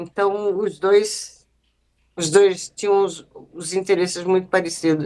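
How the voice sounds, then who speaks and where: A woman speaks at a very slow pace with a monotone, flat intonation. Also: medium pitch for a woman. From Mato Grosso, Brazil (Cuiabá). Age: 50s. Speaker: artist. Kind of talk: casual interview.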